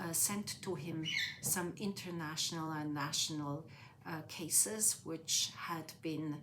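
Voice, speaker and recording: A woman with a Swiss accent speaks at a very deep, low pitch and a very slow pace, with fairly even intonation. Audible room echo surrounds her voice. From Switzerland, near Zurich. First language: Swiss German. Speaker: interviewee. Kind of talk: life story interview. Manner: hesitant, many fillers.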